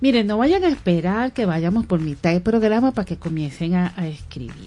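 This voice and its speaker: This woman speaks with a Venezuelan accent. Her pitch sits at a medium level. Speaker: radio host. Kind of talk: radio talk show. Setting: radio studio. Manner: animated.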